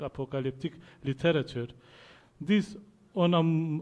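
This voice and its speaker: A man speaks with a non-native accent. His pitch sits fairly high. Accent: non-British English. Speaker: academic researcher. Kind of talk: conference paper reading.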